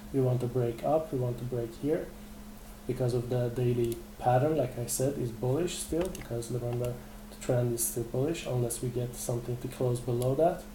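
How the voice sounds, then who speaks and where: A man speaks at medium pitch and a moderate pace with fairly even intonation. Audible room echo surrounds the voice. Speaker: trading webinar presenter. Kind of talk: live webinar tutorial. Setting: live webinar. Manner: hesitant fillers.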